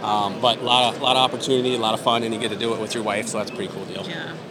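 Talking at a very fast pace, a man with an American accent holds a medium pitch and fairly even intonation over noticeable background noise. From Iowa, US Midwest. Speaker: fishing TV host and resort owner. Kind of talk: casual interview chat.

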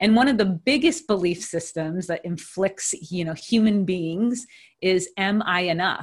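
Somewhat breathy, a woman at medium pitch speaks at a fairly slow pace with ordinary pitch variation. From Hawaii. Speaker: podcast co-host, coach. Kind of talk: casual chat.

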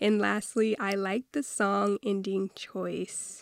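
Recorded very cleanly over a silent background, a woman's medium-pitched voice has a dry, close sound with no echo. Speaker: podcast host. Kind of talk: solo podcast monologue. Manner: reflective, motivational.

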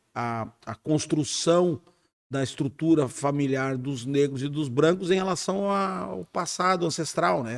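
At a fairly slow pace, a man with a plain, everyday voice speaks at a fairly high pitch with lively intonation. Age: 50s. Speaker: police chief, former army officer. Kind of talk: casual interview.

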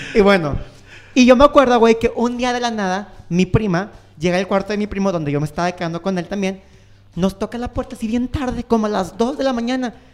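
This man's voice is high-pitched, with ordinary pitch variation and a fairly quick pace. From Mexico. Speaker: podcast co-host. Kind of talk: casual chat.

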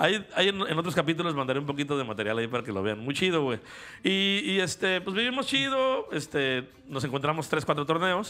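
Fairly high, animated male voice with a Mexican accent, a fairly quick pace and very wide pitch swings. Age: 40s. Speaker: podcast co-host. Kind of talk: casual chat.

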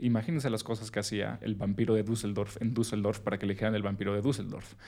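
The man speaks at a very fast pace. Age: 30s. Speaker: podcast host. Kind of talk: casual chat.

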